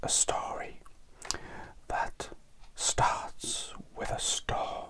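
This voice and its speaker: Whispering very slowly in a calm tone, a man is heard over noticeable background noise. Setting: studio. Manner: soft-spoken, slow, calm.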